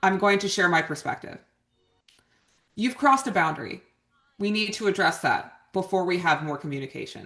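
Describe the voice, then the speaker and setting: A female-sounding voice puts on a character, resonant and at a medium pitch for a woman. It moves at a fairly quick pace but leaves long, frequent pauses. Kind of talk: steady, firm.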